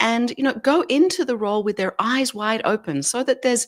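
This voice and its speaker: A woman with an Australian accent in a very clean recording with a silent background, dry and close with no echo. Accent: Australian, noticeable. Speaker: leadership expert and author. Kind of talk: interview.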